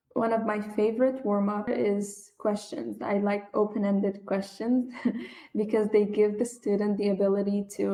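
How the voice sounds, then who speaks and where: A woman speaks with an Arabic accent. Her pitch is medium and her pace moderate. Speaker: English language teacher. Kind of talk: interview.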